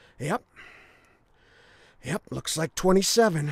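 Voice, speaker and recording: In a raspy, high-pitched put-on character voice, a man speaks at a fairly slow pace with a dry, close sound and no echo. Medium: video game. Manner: mocking, aggressive.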